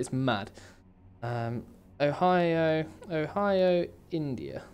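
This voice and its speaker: With a British accent, a man speaks using lively intonation. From England. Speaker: video game streamer. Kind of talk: live game stream chat. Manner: casual, rambling with fillers.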